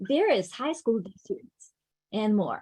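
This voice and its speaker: Fairly high in pitch, a woman talks with a non-native accent. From Ukraine. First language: not English. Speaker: education program coordinator. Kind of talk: conference opening remarks.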